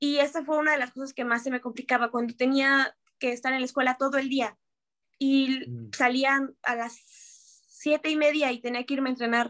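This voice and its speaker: A woman speaks at a high pitch and a moderate pace. Her intonation is monotone and flat. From Mexico. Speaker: professional american football player. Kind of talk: interview.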